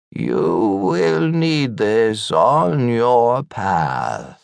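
A man's put-on character voice, medium in pitch, with very wide pitch swings. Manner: mysterious.

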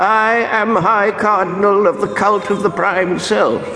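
In a put-on character voice, a man speaks at a high pitch with a resonant sound. There is a clear echo and clear background noise. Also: fairly slow pace. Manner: proud, grandiose.

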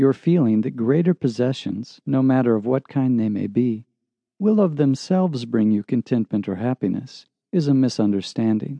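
A man talks in an ordinary speaking voice. His pace is moderate and his intonation lively. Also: medium pitch for a man. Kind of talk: audiobook narration, reading a self-help text aloud. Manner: measured, calm, earnest and formal.

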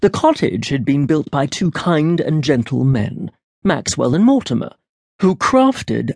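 Somewhat breathy, a man's voice sits at a fairly high pitch. It moves through very wide pitch swings. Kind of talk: audiobook narration of a fairy tale. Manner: storytelling, measured and expressive; voices characters in dialogue.

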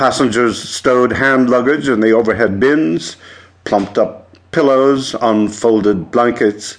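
Someone is speaking here. It is reading aloud in a natural voice.

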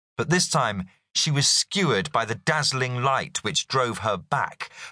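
Against a quiet background, someone reads in an unforced reading voice with ordinary pitch variation.

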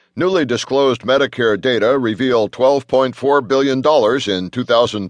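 A man's plain, everyday voice at a medium pitch and moderate pace, with ordinary pitch variation, a dry, close sound with no echo, and a quiet background. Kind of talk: news reading, scripted headline briefing. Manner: formal, crisp, even-paced newsreader delivery; neutral, businesslike, measured.

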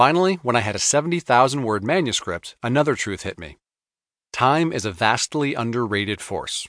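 The recording is dry and close with no echo, and a man with an unremarkable speaking voice talks at a fairly quick pace and medium pitch, his loudness swinging widely. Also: lively intonation. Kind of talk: audiobook reading. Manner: even, measured, earnest.

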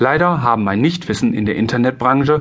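This man's pace is fairly quick. His medium pitch carries lively intonation. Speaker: insurance broker and sales trainer. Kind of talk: audiobook narration. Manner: amateur, non-professional reading.

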